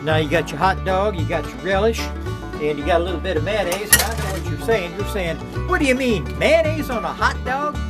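Clear music plays in the background as a man talks in a rural Southern US accent. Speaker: home cook. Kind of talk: casual cooking demo to camera. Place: kitchen. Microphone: phone near.

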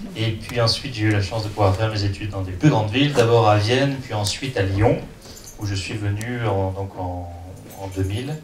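Over light background noise and audible room echo, a man speaks in a fairly low pitch with ordinary pitch variation. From southeastern France, Ardèche and Drôme; southeastern France. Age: 30s. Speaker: entrepreneur and investor; guest. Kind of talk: talk to an audience. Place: hall.

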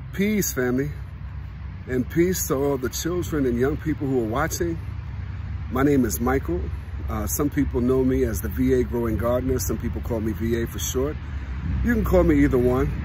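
Man with a very deep, low pitch, moderate pace and long, frequent pauses, dry sound with no echo, light background noise. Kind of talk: casual vlog chat. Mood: warm, encouraging. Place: garden. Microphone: phone near.

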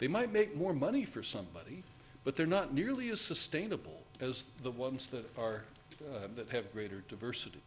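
A man's somewhat breathy, medium-pitched voice at a fairly quick pace, with very wide pitch swings and light background noise. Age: old. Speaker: conservation scientist; conference speaker. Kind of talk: conference talk. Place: hall.

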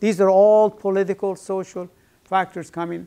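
Man with a high pitch and fairly even intonation. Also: quiet background. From Iran. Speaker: professor. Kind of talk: lecture. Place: classroom.

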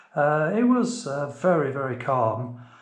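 The recording has audible room echo. A man talks within it. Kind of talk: casual vlog chat. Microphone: phone near.

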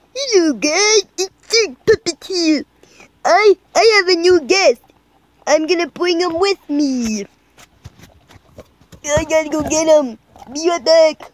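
In a cartoonish character voice with extremely high pitch, the speaker goes at a fairly slow pace with long, frequent pauses. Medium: puppet show. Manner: excited, casual.

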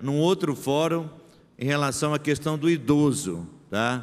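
Words come at a very slow pace. The pitch moves in an ordinary way. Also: man. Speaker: city councillor. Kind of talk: plenary speech. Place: hall. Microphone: podium.

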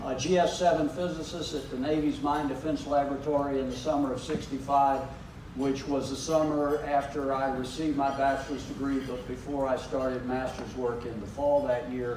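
Over noticeable background noise and audible room echo, a man speaks at a moderate pace in a monotone, flat intonation. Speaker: guest. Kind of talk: public talk. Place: hall. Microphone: handheld.

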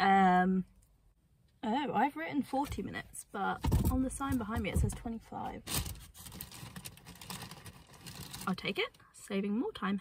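There is noticeable background noise as a woman speaks in a somewhat breathy voice at a fairly slow pace, the sound dry with no echo. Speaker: travel vlogger. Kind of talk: casual vlog chat. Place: car. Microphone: phone near.

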